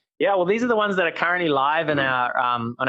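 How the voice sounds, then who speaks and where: This man speaks with a New Zealand accent at a fairly quick pace. His pitch varies in an ordinary way. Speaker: startup founder. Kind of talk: casual interview chat.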